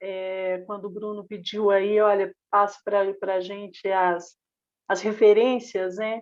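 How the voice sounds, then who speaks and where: With a Minas Gerais accent, a woman talks at a medium pitch and fairly slow pace in a monotone, flat intonation over a quiet background. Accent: Brazilian Portuguese, mineiro. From Brazil, Minas Gerais (Belo Horizonte). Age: 50s. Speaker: socialist activist and teacher. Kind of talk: podcast panel discussion.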